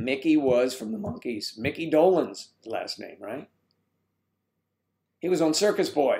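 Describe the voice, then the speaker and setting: Fairly slow with long, frequent pauses, the voice has a dark, mellow tone, very wide pitch swings, and big swings in loudness. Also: man, fairly high pitch for a man. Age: 60s. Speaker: live streamer, age-gap community founder. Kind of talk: live stream chat reading comments. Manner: animated.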